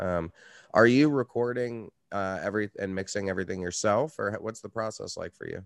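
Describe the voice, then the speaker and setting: An unremarkable speaking voice moves at a fairly quick pace with ordinary pitch variation and big swings in loudness, recorded dry and close with no echo. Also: man, fairly low pitch for a man. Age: 30s. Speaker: podcast host and metal musician. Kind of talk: casual interview chat.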